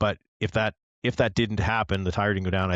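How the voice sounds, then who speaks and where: Very deep and low, a man's voice with a slight Canadian accent rushes along at a very fast pace in a dry, close recording with no echo. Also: quiet background. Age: older. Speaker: motorsport podcast co-host, sim racing league member. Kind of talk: casual chat. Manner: animated, conversational.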